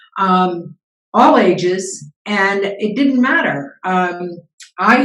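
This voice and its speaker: A woman's voice at medium pitch, with audible room echo. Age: 70s. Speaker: business founder and CEO coach. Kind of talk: interview.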